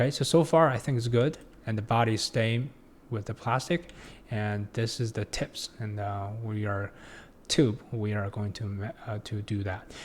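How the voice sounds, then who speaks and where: A man with a non-native accent speaks at a medium pitch and moderate pace, somewhat breathy, with ordinary pitch variation, in a very clean recording with a silent background. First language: not English. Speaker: 3D design tutorial instructor. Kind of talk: tutorial. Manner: halting, many fillers and restarts.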